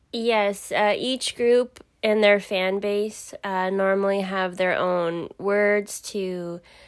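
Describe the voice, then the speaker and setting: A woman with a Californian accent speaks at a very slow pace and a medium pitch. Her intonation is monotone and flat, in a very clean recording with a silent background. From Southern California, the Valley. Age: 20s. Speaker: insurance worker. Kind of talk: interview. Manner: halting.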